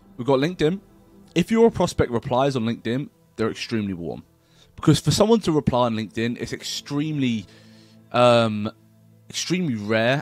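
A man talks at a fairly quick pace over faint background music, the sound dry with no echo. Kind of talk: tutorial. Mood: casual, blunt. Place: home room. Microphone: webcam.

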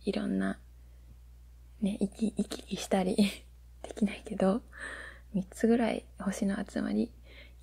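The speaker is soft-spoken, with a gentle tone and a fairly slow pace. The background is quiet. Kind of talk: casual explanatory chat about space. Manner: soft, gentle ASMR speaking voice.

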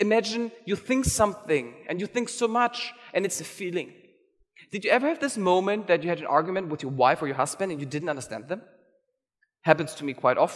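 This man talks at a fairly quick pace in a high pitch with very wide pitch swings against a quiet background. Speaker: conference organizer and keynote speaker. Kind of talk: keynote talk. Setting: stage with audience. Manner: fast talker. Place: hall. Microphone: headset.

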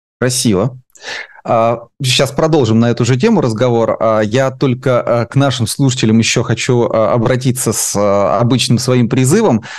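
Against a quiet background, a man talks at a fairly slow pace in a medium pitch, with very even loudness and fairly even intonation. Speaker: interviewer, channel host; host of interview channel. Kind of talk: interview. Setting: studio. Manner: hesitant, many filler sounds. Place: home room. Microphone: headset.

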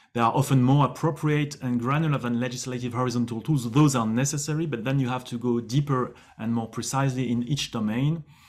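A man talks at a very fast pace. His intonation stays fairly even. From France. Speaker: government official. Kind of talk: panel discussion.

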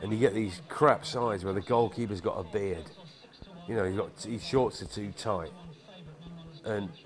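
A man speaks with a British accent at a fairly low pitch and a fairly slow pace. His pitch varies in an ordinary way, and he leaves long, frequent pauses. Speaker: film narrator. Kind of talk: documentary narration, casual monologue.

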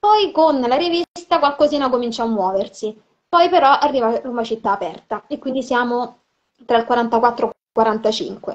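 A woman with a high pitch, lively intonation and a moderate pace. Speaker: film historian. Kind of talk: live video conversation about women in cinema and literature. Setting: video call live stream. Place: home room. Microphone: video call.

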